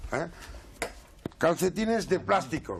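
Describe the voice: This man's voice sits high in pitch. It swings up and down in big leaps.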